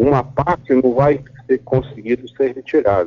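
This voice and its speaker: At a fairly slow pace, a man speaks in a fairly high pitch. His is an unremarkable speaking voice. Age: 60s. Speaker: biologist and professor. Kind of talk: radio interview.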